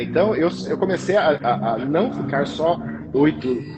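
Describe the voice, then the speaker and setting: A man's speech comes at a moderate pace, with noticeable background noise behind it. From interior of São Paulo state, Brazil. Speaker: cake decorator / pastry chef. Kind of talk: interview conversation. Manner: halting, many repetitions.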